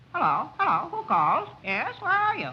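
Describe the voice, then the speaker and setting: A put-on character voice at a moderate pace. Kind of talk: 1930s comedy short acting. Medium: short film. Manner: fluttery, exclamatory.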